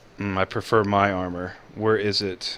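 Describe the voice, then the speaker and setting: In a put-on character voice, a man talks at a moderate pace with monotone, flat intonation. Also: fairly low pitch for a man. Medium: actual play. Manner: terse, guarded.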